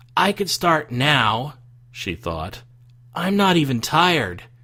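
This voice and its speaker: Using a put-on character voice, a man speaks raspily at a fairly high pitch and fairly slow pace, his pitch swinging very widely. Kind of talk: read story narration. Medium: read story.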